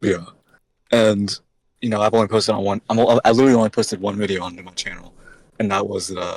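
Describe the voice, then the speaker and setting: At a very fast pace broken by long, frequent pauses, a man speaks at a fairly low pitch in a monotone, flat intonation, with big swings in loudness. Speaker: podcast host; composer. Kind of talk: casual podcast conversation. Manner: stuttering.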